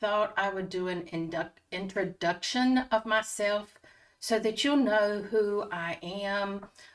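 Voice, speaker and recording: With a Southern US accent, a woman speaks fairly slowly at a medium pitch with ordinary pitch variation. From North Carolina, near Raleigh. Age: 60s. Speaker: retiree vlogger. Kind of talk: casual personal vlog talk.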